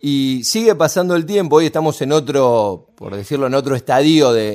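With lively intonation and a medium pitch, a man speaks at a moderate pace in an ordinary speaking voice. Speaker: radio host. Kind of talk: radio interview.

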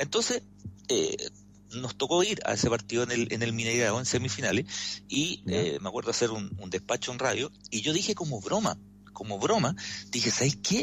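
Speaking with a Chilean accent, a man uses lively intonation at a medium pitch. His voice has vocal fry. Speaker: sports commentator. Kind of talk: radio sports commentary.

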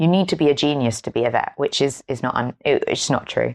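A woman in an English accent speaks with a very deep, low pitch and lively intonation, in a dry, close sound with no echo against a quiet background. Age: 20s. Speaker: podcast host. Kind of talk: casual chat.

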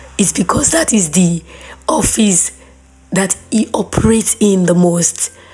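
Speaking at a fairly slow pace, a woman has a warm tone and a medium pitch with ordinary pitch variation. Noticeable background noise can be heard. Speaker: faith podcast host. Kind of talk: devotional talk. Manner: warm, conversational.

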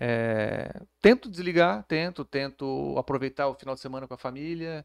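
A man with a plain, everyday voice speaks at a fairly high pitch and a fairly slow pace. The sound is dry and close, with no echo. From Santa Catarina, Brazil (Florianópolis). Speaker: police chief. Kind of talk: interview. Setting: studio. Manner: calm, measured.

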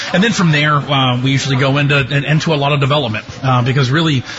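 A man's fairly high voice at a very fast pace, with fairly even intonation over noticeable background noise. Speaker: girls basketball head coach. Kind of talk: interview chat.

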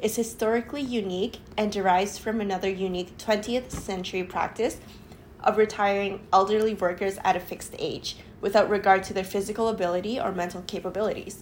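This is a normal speaking voice at a fairly quick pace. The intonation stays fairly even. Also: woman. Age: 20s. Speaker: podcast co-host, planning student. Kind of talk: casual chat with read-out research.

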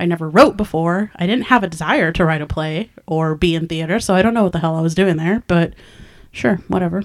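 A woman with an American accent and a plain, everyday voice talks at a fairly quick pace, her fairly low pitch showing ordinary variation. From California Central Valley, small town. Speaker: independent filmmaker, podcast co-host. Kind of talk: casual chat.

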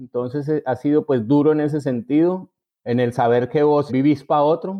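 A man's fairly high voice in a paisa accent, with ordinary pitch variation. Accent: paisa Colombian accent, intact. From Colombia, Envigado (Antioquia). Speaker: writer. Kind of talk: interview. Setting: at home. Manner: halting.

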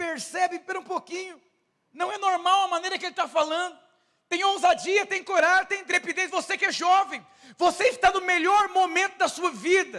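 A man with an extremely high pitch speaks in a raised, projected voice, his bright, sharp tone animated, broken by long, frequent pauses. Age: 30s. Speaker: pastor. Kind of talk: sermon.

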